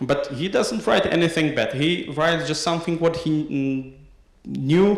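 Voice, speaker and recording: A man with a Slovak accent at a moderate pace, ordinary pitch variation, audible room echo and noticeable background noise. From Slovakia. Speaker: PhD researcher. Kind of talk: conference talk. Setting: academic conference. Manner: halting, many fillers.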